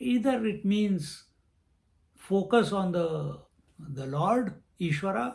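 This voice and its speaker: Pitched high, a man talks at a very slow pace with long, frequent pauses. His intonation is lively. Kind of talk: lecture. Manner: thinking aloud, halting.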